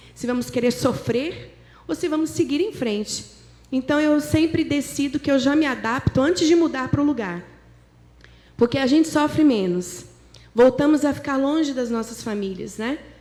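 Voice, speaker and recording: Her dark, mellow tone sits at a high pitch as the woman talks at a moderate pace with lively intonation. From interior of São Paulo state, Brazil. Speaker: guest preacher. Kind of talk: sermon. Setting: church.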